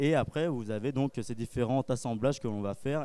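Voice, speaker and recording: A man talks at a fairly quick pace and medium pitch. His tone is dark and mellow, with ordinary pitch variation. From France, Charente (Cognac). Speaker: cognac producer's ambassador. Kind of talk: interview at a trade fair. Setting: live at a wine and drinks fair.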